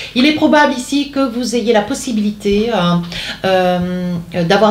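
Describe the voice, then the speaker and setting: Her voice sits at a medium pitch with ordinary pitch variation and a fairly slow pace. The woman is heard with audible room echo and noticeable background noise. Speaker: tarot card reader. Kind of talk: tarot reading. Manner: hesitant, many fillers.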